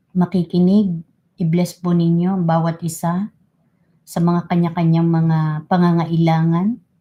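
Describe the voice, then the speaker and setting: Speaking at a fairly slow pace, a woman has a fairly low pitch, a warm, dark, mellow tone, and a somewhat breathy quality. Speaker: livestream host leading prayer. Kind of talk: fervent spoken prayer in Tagalog, earnest and devotional, with code-switching to English. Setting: livestream. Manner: earnest, reverent, fervent, slow and pleading; warm and polite, uses respectful 'po'.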